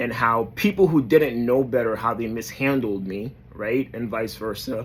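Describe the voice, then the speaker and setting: With an American accent, this man has medium pitch, ordinary pitch variation and a moderate pace. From New York. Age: 30s. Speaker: motivational vlogger. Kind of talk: motivational talk to camera. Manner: hesitant, many fillers.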